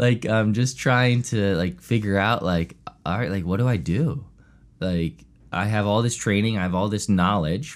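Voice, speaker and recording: This man has an ordinary speaking voice with an American accent, pitched fairly low. His pitch varies in the usual way, and his pace is moderate. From US, Chester County, Pennsylvania. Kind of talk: casual interview.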